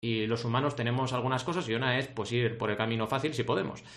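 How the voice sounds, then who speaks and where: Over noticeable background noise, a man speaks in an animated tone. His pace is fairly quick. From Argentina, raised in Barcelona from age 8. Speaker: podcast host. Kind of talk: podcast interview.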